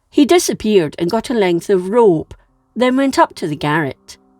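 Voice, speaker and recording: A woman talks with a Scottish accent and very wide pitch swings. Her fairly slow speech has a dry, close sound with no echo. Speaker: history narrator. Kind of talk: history storytelling narration.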